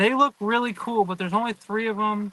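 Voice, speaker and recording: With fairly even intonation, a man speaks in a high voice with a bright, sharp tone. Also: dry, close sound with no echo. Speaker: aquarium fish seller. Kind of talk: live stream sales talk. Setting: greenhouse.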